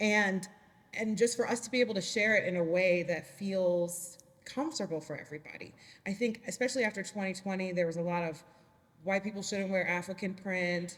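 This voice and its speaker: Against noticeable background noise, a woman talks fairly quickly at a medium pitch with ordinary pitch variation. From Liberia and Atlanta. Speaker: business owner. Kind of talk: panel discussion.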